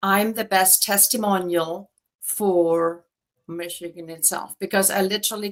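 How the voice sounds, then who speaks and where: A woman in a German accent, medium-pitched, monotone and flat, at a fairly slow pace. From Germany. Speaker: real estate agent. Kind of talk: interview.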